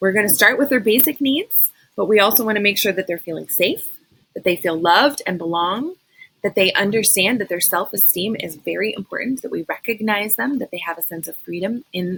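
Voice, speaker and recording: A woman talks at a fairly quick pace with a medium pitch. Her sound is dry and close, with no echo. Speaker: school behavior interventionist. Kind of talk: recorded training presentation. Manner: fast.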